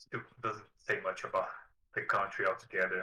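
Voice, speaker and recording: This man speaks with a Portuguese accent. His pace is moderate. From southern Brazil. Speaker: video creator about a card game. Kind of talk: interview. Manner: halting.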